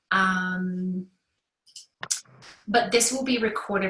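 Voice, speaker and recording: This is a woman with a medium pitch. Her intonation stays fairly even. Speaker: decluttering coach. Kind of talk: online workshop presentation. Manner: hesitant, many fillers.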